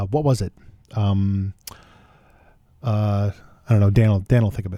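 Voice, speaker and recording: The voice belongs to a man. It carries a dark, mellow tone. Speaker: radio host. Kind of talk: radio dj patter. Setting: radio studio. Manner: casual, rambling, self-deprecating; chatty, loose, offhand.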